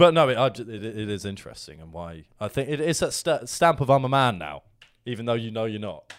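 A man with a normal speaking voice talks at a fairly quick pace and medium pitch, with lively intonation and big swings in loudness. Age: 20s. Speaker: podcast co-host. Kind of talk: casual banter chat.

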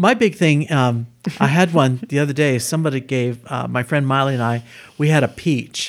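On a very clean recording with a silent background, a man with an American accent and a plain, everyday voice speaks at a fairly high pitch and a moderate pace. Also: ordinary pitch variation. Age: 60s. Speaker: improv student and cancer survivor. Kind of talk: casual interview chat. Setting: host's living room.

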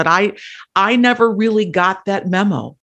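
A woman with an American accent speaks in an unremarkable speaking voice at medium pitch and a fairly slow pace. The recording is very clean, with a silent background. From Wisconsin, US Midwest. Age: 50s. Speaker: actor and political campaigner. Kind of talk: casual interview.

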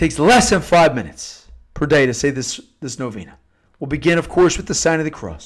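Speaking at a fairly quick pace with an American accent, a man uses a fairly high pitch, lively intonation, and vocal fry. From Philadelphia area, US. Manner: earnest, solemn, pleading.

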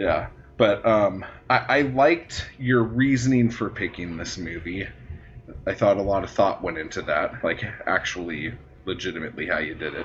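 A man with an ordinary speaking voice talks at a moderate pace, his fairly low pitch carried by lively intonation. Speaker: podcast host. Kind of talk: casual comedic chat, movie review. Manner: jokey, profane, sarcastic.

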